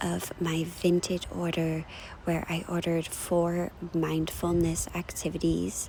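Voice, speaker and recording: In a soft-spoken voice, a woman talks at a very slow pace. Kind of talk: ASMR unboxing talk. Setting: outdoors, park.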